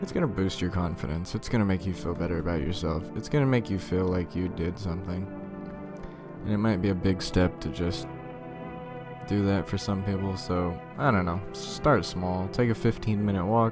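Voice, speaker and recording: A man's very deep, low voice at a moderate pace, ordinary pitch variation, and music in the background. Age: 20s. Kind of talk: casual personal monologue into mic.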